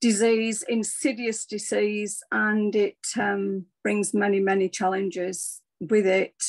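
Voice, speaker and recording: The woman talks at a very slow pace in a medium pitch. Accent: English. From England. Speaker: former nurse, wellness speaker. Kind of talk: personal testimony talk. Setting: video call. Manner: halting, many fillers.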